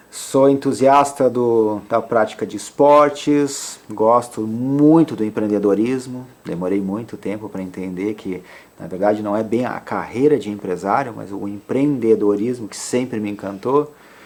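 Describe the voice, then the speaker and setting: An ordinary speaking voice from a man at medium pitch, fairly slow with hardly any pauses, ordinary pitch variation, and big swings in loudness. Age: 40s. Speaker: entrepreneur and author. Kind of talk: podcast interview.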